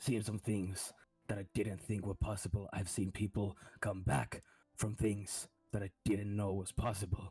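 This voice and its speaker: A man puts on a character voice at a fairly low pitch. He keeps a moderate pace. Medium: actual play. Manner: measured, grave.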